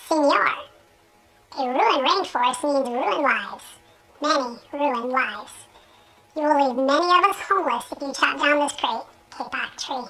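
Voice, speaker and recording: In a put-on character voice, the speaker sounds high and squeaky, with long, frequent pauses. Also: moderate pace. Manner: pleading.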